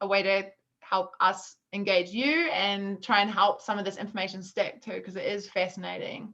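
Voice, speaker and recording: Speaking at a fairly quick pace, a woman with a New Zealand accent has a bright, sharp tone and a medium pitch. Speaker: food business co-founder, workshop presenter. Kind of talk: online workshop presentation.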